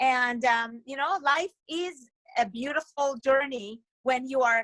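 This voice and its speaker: A woman with a bright, sharp tone speaks at a fairly slow pace in a raised, projected voice. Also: dry, close sound with no echo. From Israel. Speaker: author and educator. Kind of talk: interview.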